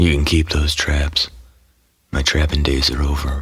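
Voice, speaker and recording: In a put-on character voice, the speaker keeps a monotone, flat intonation at a moderate pace and very even loudness. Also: man, very deep, low pitch for a man. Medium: audio drama. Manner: terse, clipped.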